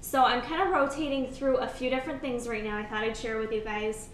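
The intonation stays fairly even. Room echo and light background noise can be heard. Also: woman. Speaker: fitness vlogger. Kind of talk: casual vlog chat. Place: home room. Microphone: camera far.

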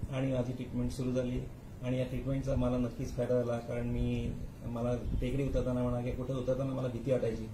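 Noticeable background noise sits behind a man's voice. He has a medium pitch and monotone, flat intonation. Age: 60s. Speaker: patient. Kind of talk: testimony. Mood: calm, grateful. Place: office. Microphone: phone near.

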